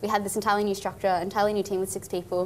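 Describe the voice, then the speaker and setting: A woman with an Australian accent speaks with fairly even intonation over light background noise. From Far North Queensland, Australia. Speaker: engineer and nonprofit founder. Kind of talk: interview. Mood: cheerful, animated. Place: studio.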